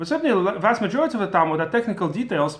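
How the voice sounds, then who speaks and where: Speaking in a Russian accent, a man goes at a very fast pace with lively intonation. Audible room echo surrounds him. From former Soviet Union. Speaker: Torah teacher. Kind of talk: lecture. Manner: halting.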